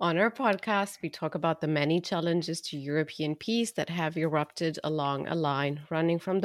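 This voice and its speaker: This woman's voice sits very deep and low, moving at a moderate pace. The sound is dry and close with no echo, on a very clean recording with a silent background. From Romania. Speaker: podcast host and policy researcher. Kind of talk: interview.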